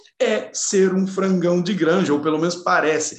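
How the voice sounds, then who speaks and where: With audible room echo around him, a man speaks at a moderate pace in a high pitch. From Brazil, São Paulo state (Caçapava). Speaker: engineer and neuroscience speaker. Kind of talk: interview conversation.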